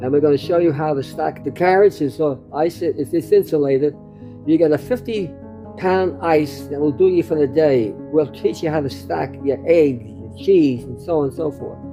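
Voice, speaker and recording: Over music in the background, a man with an American accent talks in a fairly high pitch with lively intonation. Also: moderate pace. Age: 90s. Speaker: storyteller recounting family history. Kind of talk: oral family storytelling. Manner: halting with repetitions.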